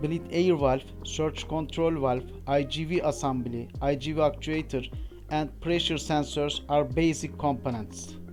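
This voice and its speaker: Music plays in the background as a man with a fairly high voice speaks at a fairly slow pace. His intonation is lively. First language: not English. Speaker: aircraft APU technician and engineer. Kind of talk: technical training narration.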